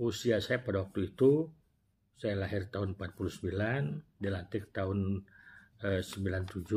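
Somewhat breathy, a man speaks at a very slow pace and fairly low pitch with ordinary pitch variation, amid light background noise. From Indonesia. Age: 60s. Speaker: retired prosecutor and former regional legislator telling life story. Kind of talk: personal storytelling vlog. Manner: halting with self-corrections. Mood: warm, reflective. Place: office. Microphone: lapel.

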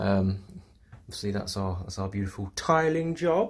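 Somewhat breathy, a man speaks at a moderate pace with light background noise. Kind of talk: casual vlog chat. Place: bathroom. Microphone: phone near.

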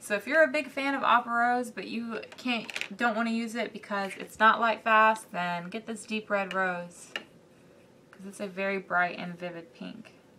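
Over noticeable background noise, a woman with a fairly high voice and a Southern US accent speaks with ordinary pitch variation and big swings in loudness. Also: moderate pace. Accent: Southern US, country. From US South. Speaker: art YouTuber. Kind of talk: tutorial. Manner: casual, with many fillers.

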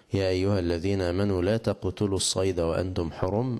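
This man's voice sits fairly low in pitch. His tone is dark and mellow, and the background is quiet. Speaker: religious teacher. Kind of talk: lecture. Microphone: handheld.

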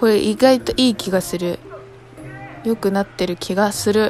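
Speaking fairly slowly with a Kyushu accent and ordinary pitch variation, a woman is heard in a dry recording with no echo and clear music behind her. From Kumamoto, Japan. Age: 20s. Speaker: vlogger. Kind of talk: casual vlog narration. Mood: relaxed, playful.

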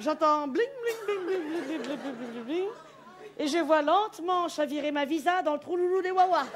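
Crowd noise fills the background as a woman talks at a fairly slow pace in an extremely high pitch. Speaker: stand-up comedian. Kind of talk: comic stage monologue. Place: stage. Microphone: headset.

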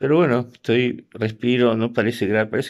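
The background is quiet. A man speaks with vocal fry. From Argentina and US. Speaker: video blogger. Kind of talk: casual vlog. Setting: in bed at home. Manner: halting. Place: home room. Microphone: phone near.

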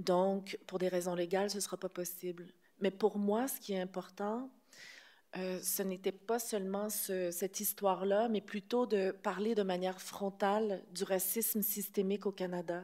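A woman speaks in a flat monotone with a dark, mellow tone. Her background is quiet. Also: moderate pace. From Quebec. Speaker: film director; film director at panel. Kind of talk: press conference; press conference answer. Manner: hesitant, many fillers. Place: hall. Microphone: podium.

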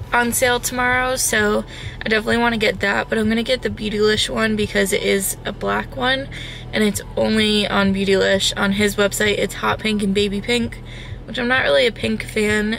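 Over light background noise, a woman speaks at a moderate pace in a dry sound with no echo. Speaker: vlogger. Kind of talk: casual vlog chat. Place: car. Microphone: phone near.

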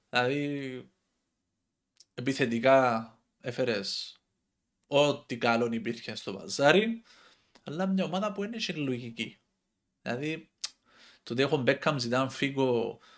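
Against a quiet background, a man with a Cypriot accent speaks at a fairly slow pace with lively intonation and long, frequent pauses. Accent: Cypriot Greek. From Cyprus. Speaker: football commentator YouTuber. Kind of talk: casual monologue. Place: home room. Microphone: headset.

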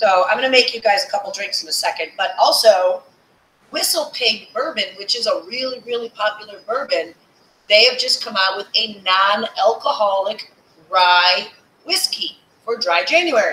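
At a moderate pace, a woman talks with audible room echo around her. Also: fairly high pitch for a woman, lively intonation. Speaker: online happy hour host. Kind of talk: casual live chat. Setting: live video stream. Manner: animated, upbeat. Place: home room.

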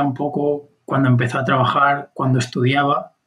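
A plain, everyday voice, its intonation fairly even. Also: man. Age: 20s. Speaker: podcast co-host. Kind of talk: casual conversation.

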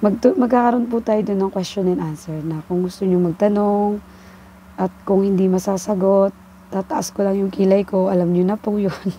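A woman speaks at medium pitch and a moderate pace, her dark, mellow tone and fairly even intonation captured dry with no echo over light background noise. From Philippines. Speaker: vlogger. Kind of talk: personal vlog monologue. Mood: warm, encouraging. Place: home room. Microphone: earbuds.

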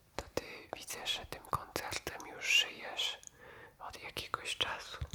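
Over noticeable background noise, a man whispers in a calm tone at a very slow pace, his loudness swinging widely. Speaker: ASMR creator. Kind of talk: ASMR roleplay, personal attention. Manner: whispered; soft-spoken, calm, caring.

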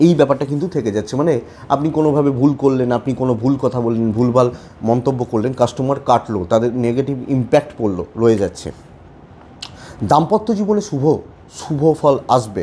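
There is light background noise as a man speaks with lively intonation. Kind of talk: horoscope commentary to camera. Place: home room.

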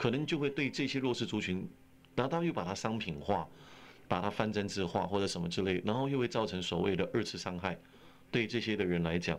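A man with an ordinary speaking voice talks at a fairly quick pace, fairly low in pitch, with lively intonation. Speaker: pastor, radio interview guest. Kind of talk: interview answer. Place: studio. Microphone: old recording.

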